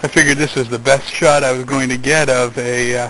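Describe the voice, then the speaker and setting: Monotone, flat intonation at a moderate pace, over noticeable background noise. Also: man. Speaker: travel vlogger on a bicycle trip. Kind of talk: casual travel vlog narration. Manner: halting, stammers often.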